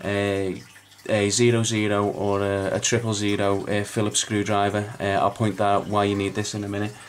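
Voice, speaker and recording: A man with a Liverpool accent, fairly low pitch and a moderate pace, against noticeable background noise. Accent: Liverpool (Scouse). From northern England, Liverpool. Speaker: phone repair technician. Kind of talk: tutorial. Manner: halting, many fillers.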